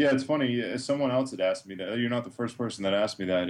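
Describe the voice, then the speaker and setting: A man speaks at a medium pitch with ordinary pitch variation, in a plain, everyday voice. The background is quiet. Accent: American. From Massachusetts. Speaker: WordPress theme developer. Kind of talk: interview.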